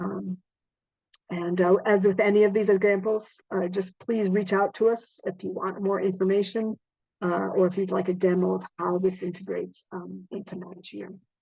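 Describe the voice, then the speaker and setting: Over a quiet background, a woman speaks at a moderate pace with a dark, mellow tone and monotone, flat intonation. Her loudness swings widely, and the sound is dry with no echo. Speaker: webinar presenter. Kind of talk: webinar presentation. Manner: hesitant, many fillers. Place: home room. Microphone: video call.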